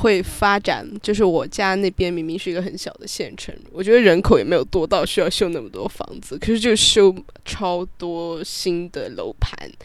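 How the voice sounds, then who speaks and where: Moderate pace with hardly any pauses. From Sichuan, China. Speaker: podcast guest. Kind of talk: casual chat.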